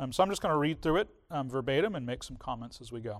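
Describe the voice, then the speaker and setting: Talking at a very fast pace with ordinary pitch variation, a man is heard on a very clean recording with a silent background. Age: 40s. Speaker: pastor. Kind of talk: sermon. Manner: halting, frequent fillers.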